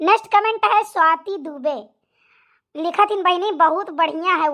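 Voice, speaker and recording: In a put-on character voice, a woman squeaks at an extremely high pitch, keeping ordinary pitch variation and a fairly slow pace. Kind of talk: homely vlog sign-off. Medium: cartoon. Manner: warm, chatty, folksy.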